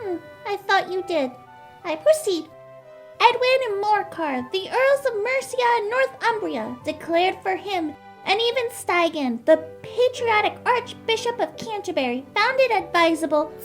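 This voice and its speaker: The speaker puts on a character voice at a moderate pace. Clear music plays in the background. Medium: audio drama. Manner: self-important, formal.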